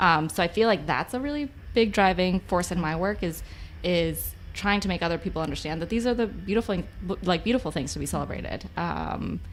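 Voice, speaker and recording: On a very clean recording with a silent background, a woman with vocal fry talks at a fairly quick pace and fairly low pitch, with lively intonation. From US-Mexico border, Spanish-speaking family. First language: Spanish. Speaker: nonprofit advocacy staffer. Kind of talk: casual chat.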